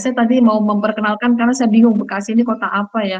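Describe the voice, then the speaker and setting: A woman's fairly high, somewhat breathy voice. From Central Java (Purworejo), Indonesia. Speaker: university lecturer. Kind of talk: online lecture.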